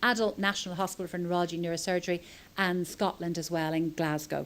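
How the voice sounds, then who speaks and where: With a Dublin accent, a woman speaks at a medium pitch. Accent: Irish (Dublin). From Ireland, Dublin. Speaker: pediatric epilepsy doctor. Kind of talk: conference talk.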